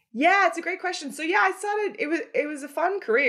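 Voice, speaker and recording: A woman with an Australian accent at a very fast pace over a quiet background. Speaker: company founder and former journalist. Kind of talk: interview.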